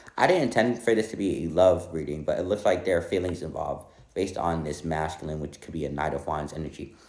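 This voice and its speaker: In a room with audible echo, a man with a very deep, low pitch talks very fast with hardly any pauses and ordinary pitch variation. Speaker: tarot reader. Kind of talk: tarot reading monologue.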